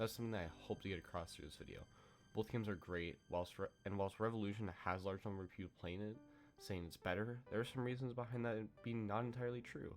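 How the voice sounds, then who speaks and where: Over music in the background, the voice moves at a very fast pace with ordinary pitch variation. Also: man, fairly low pitch for a man. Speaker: gaming video creator. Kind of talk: video essay narration.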